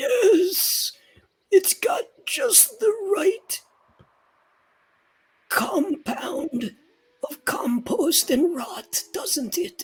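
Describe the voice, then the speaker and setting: A raspy, put-on character voice sits at an extremely high pitch. It moves at a very slow pace with long, frequent pauses. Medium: actual play. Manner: warm, gentle.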